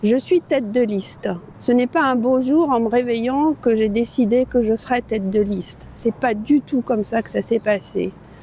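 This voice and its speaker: With noticeable background noise behind her, a woman talks at a moderate pace, her pitch fairly high and its variation ordinary. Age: 60s. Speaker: local election candidate. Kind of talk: campaign video statement. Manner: hesitant with fillers.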